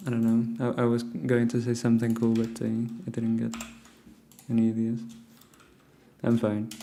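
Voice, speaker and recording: A man speaks quietly at medium pitch and a moderate pace, in a monotone, flat intonation with long, frequent pauses, amid audible room echo and noticeable background noise. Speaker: programming livestreamer. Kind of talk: live coding stream chat. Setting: at home, early morning. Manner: quiet, hushed.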